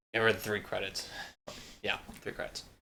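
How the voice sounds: A man's fairly low pitch with vocal fry, a bright, sharp tone, little pitch movement and a moderate pace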